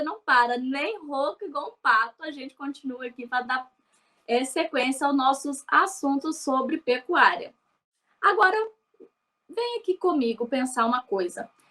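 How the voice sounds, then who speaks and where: At a fairly slow pace, a woman projects a raised voice with a high pitch, a bright, sharp tone, lively intonation and big swings in loudness. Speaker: livestock program host. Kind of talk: scripted presentation; interview. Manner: animated.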